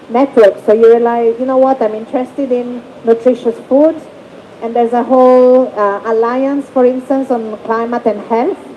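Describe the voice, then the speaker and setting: A high-pitched woman at a moderate pace in a monotone, flat intonation, with noticeable background noise. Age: middle-aged. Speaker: human rights rapporteur writing thematic reports. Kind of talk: panel discussion.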